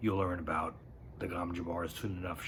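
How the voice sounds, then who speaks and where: In a strained, put-on character voice pitched very deep and low, a man talks at a fairly quick pace over noticeable background noise. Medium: read story. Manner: controlled, restrained.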